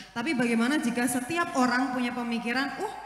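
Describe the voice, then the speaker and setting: A woman talks at a moderate pace with ordinary pitch variation and a strong Javanese accent. Noticeable background noise and audible room echo surround her voice. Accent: thick Javanese. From East Java. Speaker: audience member asking a question. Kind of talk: Q&A question at religious talk. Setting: mosque gathering. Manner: halting, many fillers.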